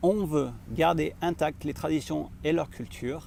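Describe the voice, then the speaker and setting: A man's fairly high voice at a fairly slow pace. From France. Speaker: vlogger and social entrepreneur. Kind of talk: vlog monologue to camera. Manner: hesitant, many filler pauses.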